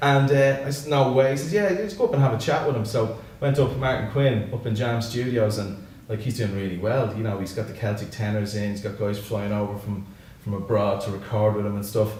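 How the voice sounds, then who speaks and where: With a Dublin accent, a man talks at a fairly quick pace at a medium pitch with ordinary pitch variation. Noticeable background noise and audible room echo are present. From Ireland, Dublin northside (Santry). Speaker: singer-songwriter and musician. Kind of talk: casual interview. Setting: studio.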